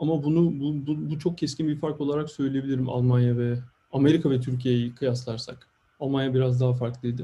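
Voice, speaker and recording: A man's somewhat breathy, medium-pitched voice with a dark, mellow tone, fairly even intonation and a fairly quick pace. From Turkey, İzmir (Karşıyaka). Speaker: materials science researcher. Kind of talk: interview.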